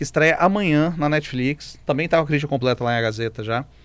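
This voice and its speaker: Fairly high-pitched male voice at a fairly quick pace, ordinary pitch variation, very clean recording with a silent background. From Brazil. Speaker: film critic. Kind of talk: radio film review segment. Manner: animated, conversational.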